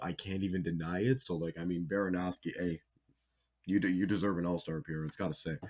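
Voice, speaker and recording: Here a man talks at a very deep, low pitch. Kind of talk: casual reaction commentary. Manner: animated; filler-heavy, stammering.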